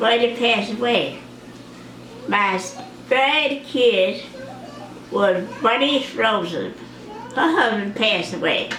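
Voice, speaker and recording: Over noticeable background noise and audible room echo, a woman with a fairly high voice speaks very slowly with lively intonation. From Mississippi, US South. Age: 80s+. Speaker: grandmother sharing memories. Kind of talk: oral history interview.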